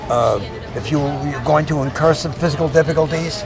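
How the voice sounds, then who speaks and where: Someone with an American accent speaks as music plays in the background. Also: man. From US Northeast (Philadelphia, New York City). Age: 70s. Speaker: veteran bodybuilder. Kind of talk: interview.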